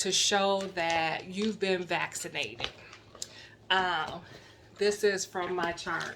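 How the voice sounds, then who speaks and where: Bright and sharp in tone, a woman's medium-pitched voice carries an American accent and fairly even intonation. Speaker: YouTuber. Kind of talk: casual vlog.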